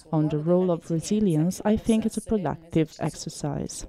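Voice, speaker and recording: Speaking in an Italian accent, a woman has a dark, mellow tone and a fairly low pitch. She keeps a moderate pace with ordinary pitch variation. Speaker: activist and researcher. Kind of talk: lecture; panel discussion.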